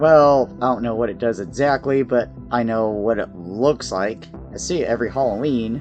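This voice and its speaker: Moderately paced male speech over background music. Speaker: video reviewer. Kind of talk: casual talk to camera.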